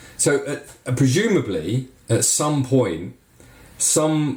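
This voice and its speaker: A man's voice against noticeable background noise. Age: 40s. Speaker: podcast host and ski school owner. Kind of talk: casual chat. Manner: animated.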